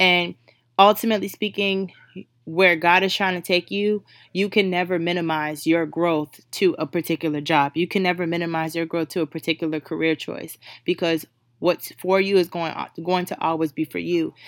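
The voice moves at a moderate pace with a dry, close sound and no echo. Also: woman, fairly low pitch for a woman. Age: 20s. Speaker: podcast host. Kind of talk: casual motivational monologue. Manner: animated.

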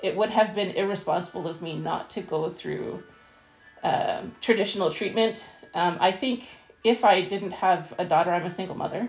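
Music can be heard behind the voice. The woman talking holds a medium pitch. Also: ordinary pitch variation, moderate pace. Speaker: cancer patient and translator. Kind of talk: casual interview. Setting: lying in bed at home.

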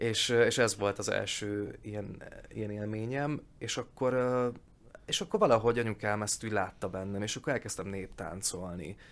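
In a very clean recording with a silent background, a man with an ordinary speaking voice talks at a moderate pace, his fairly low pitch showing ordinary pitch variation. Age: 30s. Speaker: actor and voice actor. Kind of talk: casual interview.

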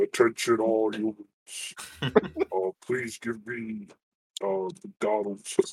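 In a put-on character voice, a man booms loudly at a medium pitch, moving at a very slow pace with long, frequent pauses. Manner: announcing, declarative.

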